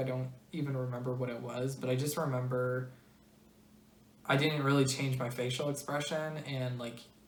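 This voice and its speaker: With an American accent, a woman speaks at a moderate pace. Her pitch is very deep and low, and audible room echo surrounds her voice. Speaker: video blogger. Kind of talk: personal explainer monologue. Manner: flat intonation, serious and direct; hesitant, many fillers.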